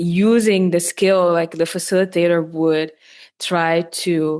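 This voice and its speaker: A woman with a Dutch accent speaks very slowly in a fairly low, flat, monotone voice against a quiet background. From Netherlands. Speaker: podcast host. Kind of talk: interview. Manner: halting, many fillers.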